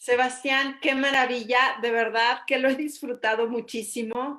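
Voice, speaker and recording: A woman with a Mexican accent talks fairly slowly in a bright, sharp tone against a quiet background. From Mexico. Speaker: interviewer. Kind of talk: interview.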